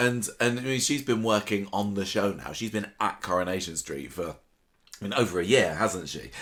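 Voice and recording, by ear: A man talks at a fairly low pitch with a fairly bright tone and ordinary pitch variation. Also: moderate pace.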